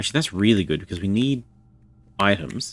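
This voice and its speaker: With an Australian accent, a man talks at a fairly quick pace and a fairly low pitch, his voice swinging very widely up and down. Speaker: video game streamer. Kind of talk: live gameplay commentary. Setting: live stream.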